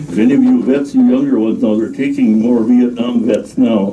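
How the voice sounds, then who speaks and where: A man is heard speaking. Noticeable background noise and audible room echo are present. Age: 90s. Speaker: war veteran. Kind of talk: personal testimony talk. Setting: library presentation with audience. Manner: halting, many fillers.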